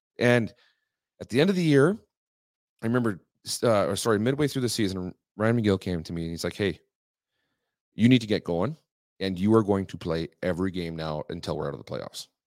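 This man talks at a fairly quick pace, his fairly low voice rising and falling in lively intonation with big swings in loudness. Long, frequent pauses break up his speech, and the sound is dry and close with no echo. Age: 40s. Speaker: former hockey goalie. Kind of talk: casual chat. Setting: studio.

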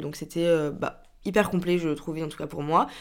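On a very clean recording with a silent background, a woman with a plain, everyday voice speaks at a moderate pace in a fairly low pitch with fairly even intonation. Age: 20s. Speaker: podcaster. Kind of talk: casual monologue.

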